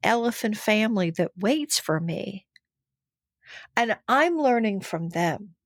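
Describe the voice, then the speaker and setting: A woman with an American accent has an unremarkable speaking voice, fairly high in pitch with lively intonation at a fairly slow pace. The recording is very clean with a silent background, the sound dry and close with no echo. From Texas (Denton, Fort Worth). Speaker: actress, dancer and animal communicator. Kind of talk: casual interview.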